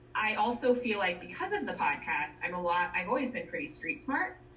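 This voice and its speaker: A woman speaks with an American accent at a moderate pace, her pitch swinging very widely. Noticeable background noise runs behind her. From Minnesota and Colorado. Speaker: marketing professional, podcaster. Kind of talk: casual interview chat.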